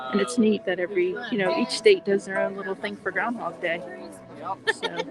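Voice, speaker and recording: Noticeable background noise sits under delivery at a fairly quick pace. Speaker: family travel vlogger. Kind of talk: live stream vlog commentary. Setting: outdoors at a nature center. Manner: talking quietly.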